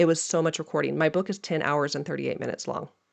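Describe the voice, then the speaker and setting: Against a quiet background, a woman talks at a fairly low pitch. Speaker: podcast host and dietitian entrepreneur. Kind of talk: casual podcast talk. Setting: home office. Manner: fast; casual, filler words.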